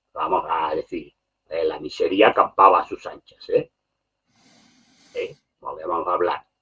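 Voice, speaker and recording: In a dry, close recording with no echo, the man speaks fairly slowly. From Catalonia, Spain. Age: 60s. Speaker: political commentator. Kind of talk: podcast discussion. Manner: animated.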